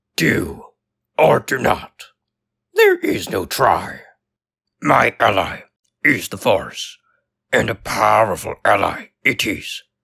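Using a raspy, put-on character voice, a man talks at a very slow pace with long, frequent pauses. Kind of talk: character voice demo. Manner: inverted word order, slow.

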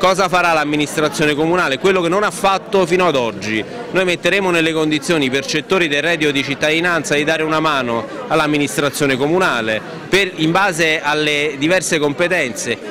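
Over noticeable background noise, a man with a fairly high pitch speaks at a fairly quick pace, keeping his loudness very even and his pitch variation ordinary. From Caserta, Campania, Italy. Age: 30s. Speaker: politician, mayoral candidate. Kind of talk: campaign interview.

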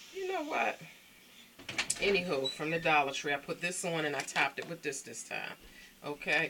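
With an American accent, a woman speaks at a moderate pace with long, frequent pauses over loud background noise. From Baltimore, Maryland. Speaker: vlogger. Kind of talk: casual chat to camera. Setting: at home. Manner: animated. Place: home room. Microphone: phone near.

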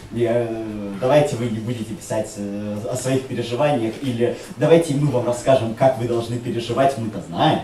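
A man talks at a moderate pace with ordinary pitch variation. Audible room echo and light background noise surround his voice. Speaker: writer. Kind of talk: panel discussion. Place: hall.

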